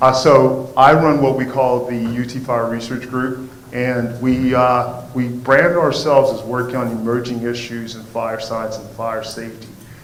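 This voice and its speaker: A man's medium-pitched voice at a moderate pace, monotone and flat, with hardly any pauses and big swings in loudness, against noticeable background noise. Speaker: fire safety professor. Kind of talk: lecture. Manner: halting, many fillers.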